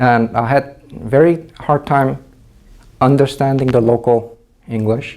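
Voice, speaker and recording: At a fairly slow pace, a man with a Korean accent speaks at a medium pitch with ordinary pitch variation. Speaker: teacher. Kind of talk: testimony.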